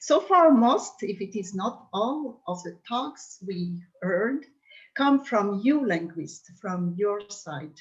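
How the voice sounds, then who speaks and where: A woman speaks at a very slow pace, her pitch sitting in the medium range. Her intonation is lively, her loudness swings widely, and her voice is somewhat breathy. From Madagascar. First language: Malagasy. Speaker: language consultant. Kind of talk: conference talk.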